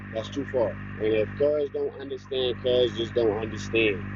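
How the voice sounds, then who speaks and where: A man with an American accent, medium pitch and moderate pace, against noticeable background noise. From Harrisburg, Pennsylvania, US. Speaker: fishing livestreamer. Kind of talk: live stream chat. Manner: loud.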